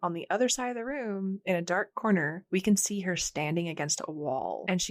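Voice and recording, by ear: Lively intonation in reading aloud in a natural voice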